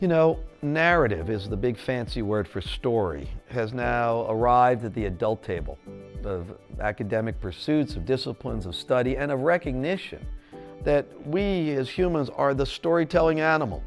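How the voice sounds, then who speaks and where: A man speaks at a moderate pace. Faint music plays in the background. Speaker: visiting journalist. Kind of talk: interview answer. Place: studio. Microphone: lapel.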